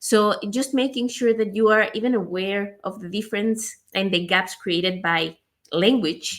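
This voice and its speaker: A woman at medium pitch with a non-native accent, ordinary pitch variation and a fairly slow pace. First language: not English. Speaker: podcast host. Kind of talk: casual interview chat.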